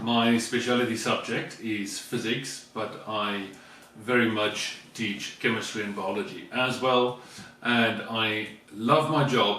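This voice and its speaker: At a very slow pace, a man speaks with a medium pitch and fairly even intonation. Audible room echo and noticeable background noise are present. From South Africa. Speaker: vlogger, teacher. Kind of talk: casual chat.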